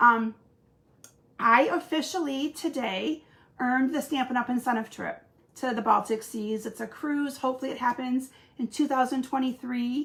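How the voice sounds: A woman speaks at a moderate pace in a high, fairly bright voice with ordinary pitch variation.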